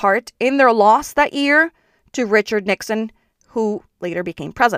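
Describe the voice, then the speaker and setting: In a plain, everyday voice, a woman speaks at a moderate pace with a fairly high pitch and lively intonation, the sound dry and close with no echo on a very clean recording with a silent background. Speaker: podcast host and founder. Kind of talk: scripted explainer, informative monologue. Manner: informal, explanatory, conversational.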